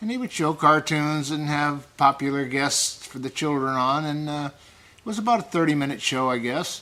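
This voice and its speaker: A man's fairly high-pitched, bright, sharp voice at a moderate pace. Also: ordinary pitch variation. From United States, moved around (Florida, California, Indiana, Massachusetts). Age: 70s. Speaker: retired carnival worker. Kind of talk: oral history interview. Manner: hesitant, frequent uh fillers.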